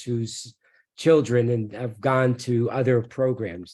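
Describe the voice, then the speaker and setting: A man with a plain, everyday voice speaks at a fairly slow pace and medium pitch. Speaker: professor. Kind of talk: webinar presentation.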